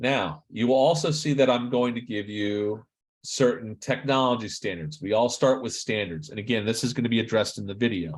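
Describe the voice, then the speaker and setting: A man speaks at a fairly quick pace. His medium pitch shows ordinary variation. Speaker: university instructor. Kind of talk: virtual class session. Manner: fast; casual.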